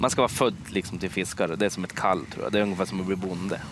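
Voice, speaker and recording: Recorded with a dry sound and no echo, a man talks at a fairly quick pace over noticeable background noise. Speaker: fisherman and fish restaurant owner. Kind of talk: TV interview. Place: waterside. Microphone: headset.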